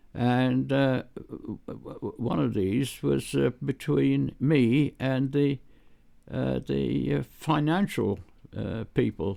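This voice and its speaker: A very slow man's voice in a British accent, medium in pitch, with very wide pitch swings and long, frequent pauses. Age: 80s+. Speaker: retired computing pioneer. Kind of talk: interview answer, storytelling. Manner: warm, gentle, enthusiastic; hesitant, many fillers.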